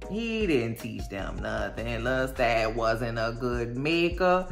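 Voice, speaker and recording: Lively intonation marks a woman's voice against noticeable background noise. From New Orleans, Louisiana. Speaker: TV recap youtuber. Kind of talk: casual recap monologue. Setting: at home in bed. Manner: animated.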